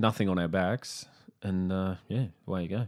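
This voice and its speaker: Speaking with an Australian accent, a man uses a fairly low pitch and ordinary pitch variation. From Brisbane, Queensland, Australia. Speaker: comedian. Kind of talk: casual chat.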